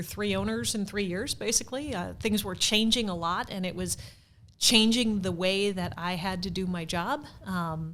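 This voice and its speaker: In an American accent, a woman with an ordinary speaking voice talks at a fairly slow pace, with a medium pitch and ordinary pitch variation. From US Midwest, St. Louis. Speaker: theater marketing director, former PR professional. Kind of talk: podcast interview.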